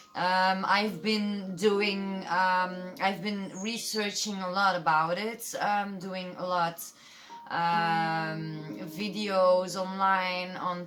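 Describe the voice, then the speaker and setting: Music plays in the background and the room echo is audible. A woman speaks very slowly at a medium pitch with fairly even intonation. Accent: Dutch. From Belgium. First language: Dutch. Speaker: tarot reader. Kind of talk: tarot reading. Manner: halting, many fillers.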